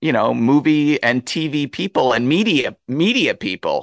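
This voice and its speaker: It's a man with an ordinary speaking voice and lively intonation, talking at a fairly slow pace. The sound is dry and close with no echo, over a quiet background. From US Northeast, near New Jersey. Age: 40s. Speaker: film critic and author. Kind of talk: interview.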